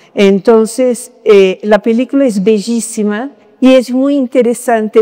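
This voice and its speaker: A woman with a Brazilian accent, fairly high in pitch, at a very slow pace. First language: Portuguese (speaking Spanish). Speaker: academic. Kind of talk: panel discussion. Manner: halting, many fillers.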